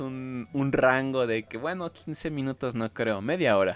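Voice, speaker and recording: A man with a Mexican accent speaks at a fairly slow pace in a medium pitch, his pitch varying in an ordinary way over background music. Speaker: podcast co-host. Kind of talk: casual chat.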